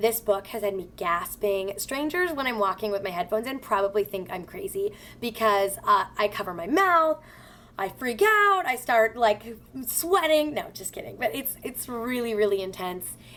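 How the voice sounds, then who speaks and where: With big swings in loudness and lively intonation, a woman speaks in an animated tone at a moderate pace and a fairly high pitch over noticeable background noise. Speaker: beauty vlogger. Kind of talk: casual chat. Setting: at home. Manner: stuttering when excited.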